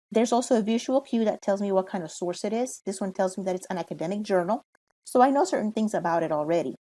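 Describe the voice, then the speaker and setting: Speaking at a very fast pace in a Spanish accent, a woman has a medium pitch, a dark, mellow tone and ordinary pitch variation. The recording is very clean and the background silent. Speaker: college librarian. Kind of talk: tutorial. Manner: casual, with fillers.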